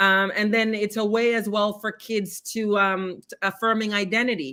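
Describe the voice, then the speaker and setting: A woman's bright, sharp, medium-pitched voice with a Jamaican Canadian accent, at a moderate pace and very even loudness, in a very clean recording with a silent background. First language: Jamaican Patois. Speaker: poet and arts educator. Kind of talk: interview. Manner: animated.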